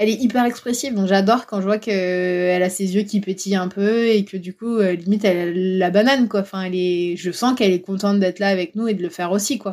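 A woman with a plain, everyday voice speaks at medium pitch and a fairly quick pace. Her intonation is fairly even, with hardly any pauses. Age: 30s. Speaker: dog owner who visits castles. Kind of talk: casual interview.

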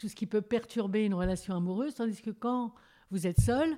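With a dark, mellow tone, a woman speaks at a moderate pace and ordinary pitch variation in a very clean recording with a silent background. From Paris region. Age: 70s. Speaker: retiree. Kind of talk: interview.

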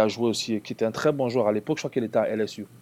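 A man with a fairly low pitch and a dark, mellow tone talks at a very fast pace with fairly even intonation. The recording is very clean, with a silent background. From Cameroon (Yaoundé). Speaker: former basketball player. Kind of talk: casual interview.

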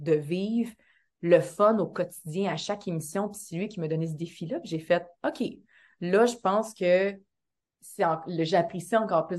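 Against a quiet background, a woman talks at a moderate pace with a fairly low pitch and fairly even intonation. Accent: Quebec. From Quebec, Montreal area, Haitian background. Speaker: actress and dancer. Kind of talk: casual interview chat.

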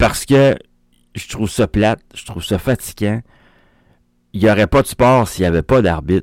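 A man with a fairly low pitch and ordinary pitch variation speaks at a moderate pace, with long, frequent pauses. His loudness swings widely in a dry, close sound with no echo. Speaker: soccer radio host. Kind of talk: daily sports radio show. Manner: casual, hesitant with fillers.

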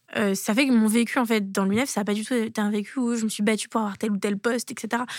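Recorded very cleanly with a silent background and a dry, close sound free of echo, a woman speaks at a fairly quick pace in a fairly high, monotone voice with flat intonation. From France, Toulouse. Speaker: former student union president. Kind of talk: interview.

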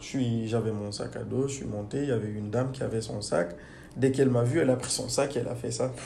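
Very fast and somewhat breathy, a man speaks in a dark, mellow tone with audible room echo. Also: medium pitch for a man, ordinary pitch variation. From Guinea. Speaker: engineer. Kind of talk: interview. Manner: hesitant.

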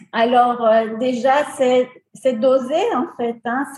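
A woman's high-pitched voice. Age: 60s. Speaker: beautician, salon owner. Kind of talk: interview testimony.

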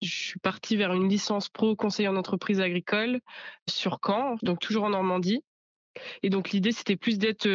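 This woman speaks at a moderate pace in a medium pitch. Her intonation is monotone and flat. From Normandy, France (Bocage virois). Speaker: young farmer. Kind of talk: interview testimony.

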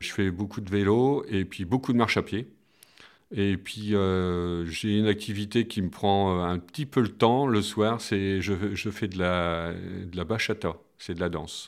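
A man's fairly low voice at a very slow pace, with ordinary pitch variation, in a very clean recording against a silent background. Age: 50s. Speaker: school maintenance worker. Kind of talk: personal testimony. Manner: hesitant, many fillers and repetitions.

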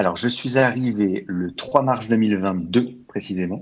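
Against a quiet background, a man speaks very slowly at a fairly low pitch. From France, Val-d'Oise near Paris. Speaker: growth marketing specialist. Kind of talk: interview. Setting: remote recording from home. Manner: hesitant, many fillers.

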